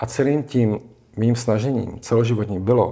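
This man's voice has a dark, mellow tone. He speaks at a moderate pace against a quiet background. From Czech Republic. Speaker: psychosomatic therapist; guest. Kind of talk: casual interview. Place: studio. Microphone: lapel.

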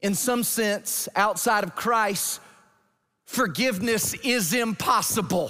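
In an American accent, a man uses a raised, projected voice, high in pitch with ordinary pitch variation. His tone is bright and sharp, his pace very slow, and the background quiet. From Georgia, US South. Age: 40s. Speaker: pastor. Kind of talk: sermon. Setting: church. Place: church.

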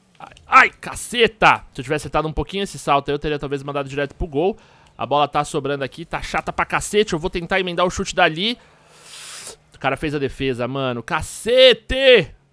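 Lively intonation and a bright, sharp tone mark this man's fairly high voice. He talks fairly quickly in a dry sound with no echo. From Minas Gerais, Brazil. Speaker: gaming youtuber. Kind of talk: gameplay commentary. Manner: animated.

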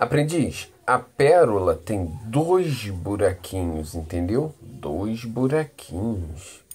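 A man speaks very slowly in a somewhat breathy voice at a medium pitch. He hardly pauses, and his pitch swings very widely. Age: 30s. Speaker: vlogger. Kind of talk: casual vlog monologue. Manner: animated.

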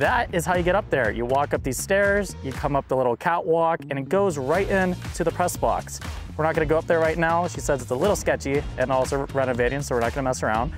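Very fast speech, dry with no echo, with clear music in the background. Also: man. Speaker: team media host. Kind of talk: casual vlog tour commentary. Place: stadium. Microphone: phone near.

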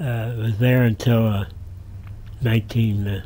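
A man with an American accent speaks very slowly in a dark, mellow tone that is somewhat breathy. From southeastern Pennsylvania (Doylestown). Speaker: retired railroad museum director and rail historian. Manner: gently amused, chuckling warmly at his own anecdotes. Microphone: camera far.

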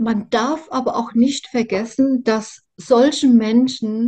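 A woman speaks very slowly in a Mainz accent. Her fairly high voice has a dark, mellow tone. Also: quiet background. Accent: Mainz-area regional dialect. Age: 60s. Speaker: survivor of narcissistic abuse sharing her story; interviewee. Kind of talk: personal testimony interview. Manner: halting, many fillers and repetitions. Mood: earnest, emotional. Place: home room. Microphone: video call.

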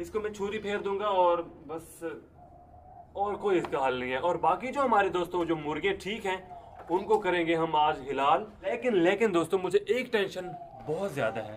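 Speaking at a moderate pace, the man has a high pitch and lively intonation.

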